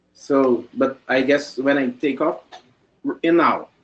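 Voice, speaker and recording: A man with a non-native accent. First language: not English. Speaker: presenter. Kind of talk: presentation. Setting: video call. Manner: halting.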